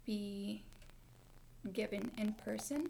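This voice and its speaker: This woman has an American accent. Her voice is somewhat breathy. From Montana, Mexican family. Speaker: university student, medical interpreter. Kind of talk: casual interview.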